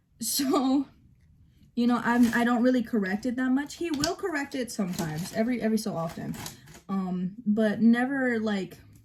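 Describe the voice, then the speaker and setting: A woman talks with lively intonation at a moderate pace, and noticeable background noise can be heard. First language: bilingual, Spanish spoken at home. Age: 18. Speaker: vlogger. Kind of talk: casual get-ready-with-me vlog. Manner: hesitant with fillers.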